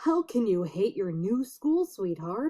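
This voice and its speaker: A woman performs a put-on character voice with very wide pitch swings at a fairly slow pace. The sound is dry and close, with no echo. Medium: read story. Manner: warm, reassuring.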